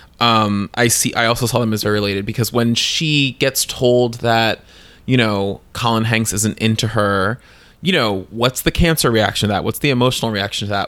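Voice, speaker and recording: With an American accent and an unremarkable speaking voice, a man speaks at a moderate pace and medium pitch, his intonation fairly even, on a very clean recording with a silent background. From New Jersey (Bayonne). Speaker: podcast co-host. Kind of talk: casual chat.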